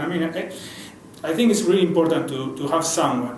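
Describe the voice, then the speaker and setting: Audible room echo and noticeable background noise surround a man whose pitch is fairly high. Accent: Spanish. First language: Spanish. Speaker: advertising creative director. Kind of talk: interview. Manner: halting, many repeated words.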